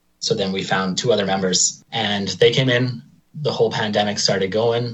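Somewhat breathy male speech with an Albertan accent, fairly low in pitch. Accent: Canadian (Alberta). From Alberta, Canada (Lacombe). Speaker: drummer in a rock band, electrician. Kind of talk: interview.

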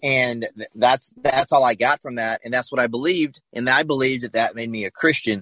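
A man talks at a fairly quick pace with fairly even intonation. His tone is bright and sharp, and the sound is dry and close with no echo. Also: medium pitch for a man. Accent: American. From South Carolina, US South. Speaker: pastor. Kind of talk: testimony. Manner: halting, many fillers and repeats.

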